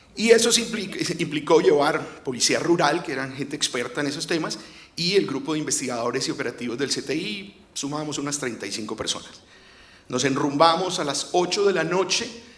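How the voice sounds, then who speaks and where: A man speaks in a fairly high pitch at a moderate pace. Audible room echo surrounds his voice. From Colombia, Cartagena. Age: 50s. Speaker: lawyer and former investigator, storyteller. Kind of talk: storytelling on stage. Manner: halting, with filler hesitations.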